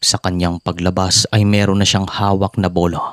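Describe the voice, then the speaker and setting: This man's very deep, low voice stays flat and monotone at a moderate pace, recorded very cleanly against silence with a dry, close sound and no echo. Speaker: horror story narrator. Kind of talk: reading aloud. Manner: relaxed.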